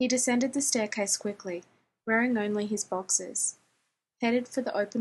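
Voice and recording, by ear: Reading aloud in a natural voice, fairly even in intonation, over a quiet background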